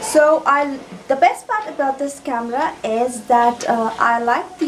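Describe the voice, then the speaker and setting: At a fairly slow pace, a woman talks with audible room echo and noticeable background noise. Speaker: beauty and tech vlogger. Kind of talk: product unboxing vlog. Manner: soft-spoken.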